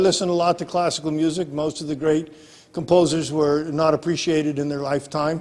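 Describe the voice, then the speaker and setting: The speaker is a man with a fairly high voice. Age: 60s. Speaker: professor. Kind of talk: interview. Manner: halting.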